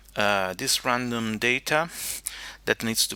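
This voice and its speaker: Pitched fairly low, the man's voice has a bright, sharp tone and ordinary pitch variation. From Italy. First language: Italian. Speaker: teacher. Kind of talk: tutorial. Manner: halting, many fillers.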